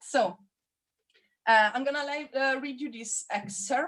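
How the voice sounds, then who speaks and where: This speaker has a non-native accent and ordinary pitch variation. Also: woman. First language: not English. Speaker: figure drawing teacher. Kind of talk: online class instruction.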